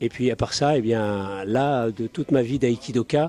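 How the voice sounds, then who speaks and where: At a fairly slow pace, a man speaks with a medium pitch, ordinary pitch variation and a dark, mellow tone. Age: 70s. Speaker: aikido practitioner. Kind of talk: interview. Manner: halting, many hesitations.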